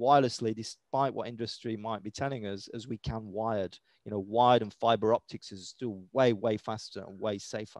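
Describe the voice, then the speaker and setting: Speaking with a British accent at a fairly quick pace, a man uses ordinary pitch variation against a quiet background. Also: dry sound with no echo. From Britain. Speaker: EMF health educator. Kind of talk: interview. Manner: casual, with many fillers. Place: home room. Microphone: headset.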